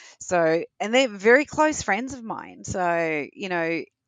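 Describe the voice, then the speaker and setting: At medium pitch, a woman with an Australian accent speaks with very wide pitch swings. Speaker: tech executive. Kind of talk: interview.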